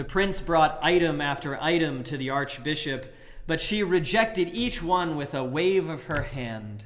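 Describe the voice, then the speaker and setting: A man's fairly high pitch and lively intonation at a fairly slow pace. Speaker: preacher. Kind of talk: sermon delivering a fairy tale. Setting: livestream sermon during church closure. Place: church. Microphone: webcam.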